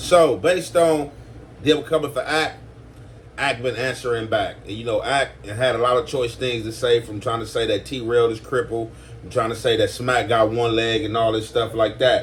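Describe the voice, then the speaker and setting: Noticeable background noise beneath a moderate pace and pitch that varies in an ordinary way. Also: man, medium pitch for a man. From US West Coast. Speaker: YouTube commentator. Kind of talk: casual commentary. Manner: hesitant, filler-heavy.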